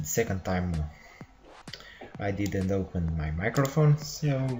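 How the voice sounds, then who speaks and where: With a non-native accent, the speaker delivers the words at a fairly slow pace. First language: not English. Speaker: programming tutorial maker. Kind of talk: tutorial. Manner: halting, many fillers. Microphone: laptop microphone, poor quality.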